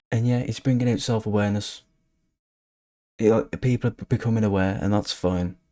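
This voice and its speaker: In a West Midlands accent, a man speaks at a moderate pace with fairly low pitch, a dark, mellow tone and fairly even intonation. The recording is very clean and silent behind him, with a dry, close sound and no echo. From England, West Midlands. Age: 20s. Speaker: social media commentator. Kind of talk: casual commentary. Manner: halting.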